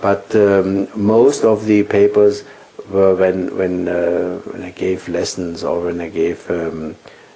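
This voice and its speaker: Over noticeable background noise, a man with a German accent talks very slowly in a very deep, low voice with fairly even intonation. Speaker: physics professor. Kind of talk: interview. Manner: halting.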